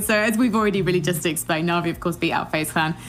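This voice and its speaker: Over noticeable background noise, a woman talks with a London accent. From London, England. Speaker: esports presenter. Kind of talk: esports analysis desk chat.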